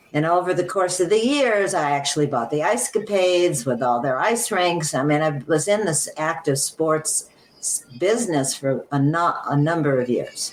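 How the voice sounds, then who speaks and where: Lively intonation at a moderate pace, very even loudness, and noticeable background noise. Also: woman, fairly low pitch for a woman. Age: 80s+. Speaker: entrepreneur. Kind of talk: interview answer. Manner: hesitant, with fillers.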